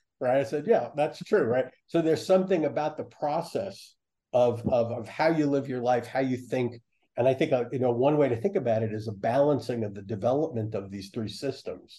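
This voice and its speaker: A man with a dark, mellow tone and a somewhat breathy medium-pitched voice talks at a fairly quick pace with ordinary pitch variation. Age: 70s. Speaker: psychologist and professor. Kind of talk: interview.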